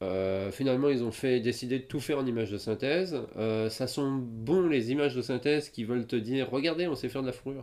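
A man speaks in an unremarkable speaking voice at a medium pitch, with ordinary pitch variation and hardly any pauses. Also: fairly quick pace. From France. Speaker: podcast co-host. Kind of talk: casual chat.

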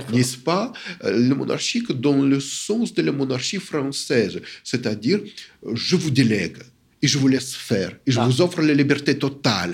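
A man with a non-native accent and vocal fry talks at a fairly slow pace, his intonation lively and his loudness very even. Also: medium pitch for a man. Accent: foreign accent in French. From Soviet Union. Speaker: academic and literary scholar. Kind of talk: interview. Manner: halting, many hesitations.

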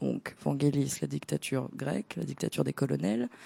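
At a fairly slow pace, the speaker has a dark, mellow tone with vocal fry and lively intonation, heard dry and close with no echo. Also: woman. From Greece. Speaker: DJ. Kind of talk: casual chat. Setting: studio.

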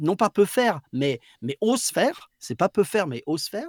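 Recorded very cleanly with a silent background and a dry, close sound with no echo, a man speaks fairly slowly with very wide pitch swings. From southwest France, Basque coast. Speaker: voice actor. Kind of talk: casual chat. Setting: live stream.

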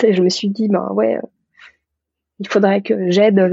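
At a fairly quick pace, a woman speaks in a medium pitch with fairly even intonation. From rural France. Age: 30s. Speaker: physician. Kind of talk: interview. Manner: halting, many hesitations.

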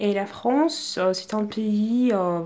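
A woman talks here. Her words carry a Russian accent. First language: Russian (speaking French). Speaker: exchange student. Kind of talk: interview.

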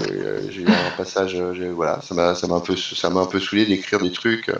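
Over noticeable background noise, a man with a fairly low voice speaks at a moderate pace. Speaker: comics reader and blogger. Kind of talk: casual chat. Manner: talkative.

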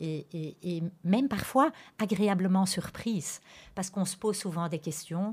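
Somewhat breathy and fairly slow, a woman speaks with ordinary pitch variation in a very clean recording with a silent background. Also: medium pitch for a woman. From Antwerp, Belgium. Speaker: school principal. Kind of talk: radio interview. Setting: radio studio. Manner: hesitant, repeats words.

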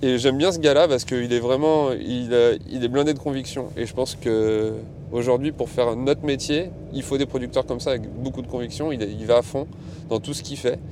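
A man talks at a moderate pace in a medium pitch, varying it in an ordinary way. Noticeable background noise is audible throughout. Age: 30s. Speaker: restaurant worker, sourcing producers. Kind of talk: casual interview. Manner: hesitant, many fillers.

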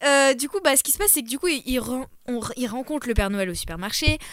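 A woman's high voice with very wide pitch swings. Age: 20s. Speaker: podcast guest. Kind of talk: casual chat. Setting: studio.

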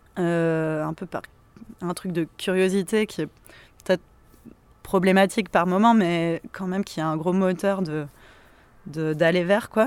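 A woman speaks at a fairly low pitch and a fairly slow pace, with fairly even intonation. She leaves long, frequent pauses. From southern France, Montpellier. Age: 30s. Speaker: activist. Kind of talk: casual interview. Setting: outdoors in a cemetery.

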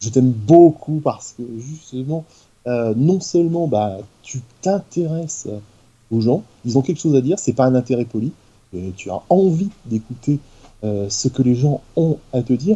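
The voice has a dark, mellow tone, somewhat breathy, with lively intonation. It moves at a fairly slow pace, broken by long, frequent pauses. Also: man, medium pitch for a man. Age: 40s. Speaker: YouTuber. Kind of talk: casual chat.

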